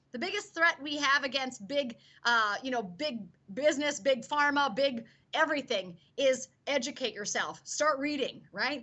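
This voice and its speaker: A woman's high-pitched, animated voice with lively intonation. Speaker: product distributor. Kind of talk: sales pitch. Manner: fast.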